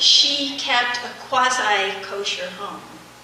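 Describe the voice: A soft-spoken woman with a bright, sharp tone, ordinary pitch variation and audible room echo.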